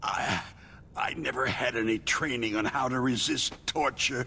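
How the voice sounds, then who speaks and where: A man's raspy, put-on character voice with very even loudness and fairly even intonation, over clear background noise. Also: medium pitch for a man, moderate pace. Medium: video game. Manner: stammering, nervous.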